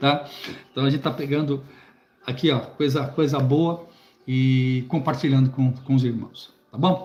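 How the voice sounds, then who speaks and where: A man with a fairly high, somewhat breathy voice speaks at a fairly slow pace with fairly even intonation, very even loudness, and long, frequent pauses. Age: 60s. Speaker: preacher and Bible teacher. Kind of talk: live stream book commentary. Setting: live stream on YouTube. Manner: halting, many repetitions and fillers.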